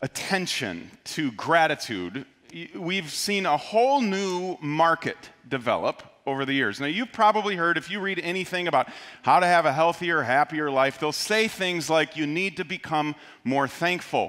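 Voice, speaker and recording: Over a quiet background, a man with a bright, sharp tone speaks at a moderate pace with lively intonation. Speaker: pastor. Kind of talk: sermon. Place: church. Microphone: headset.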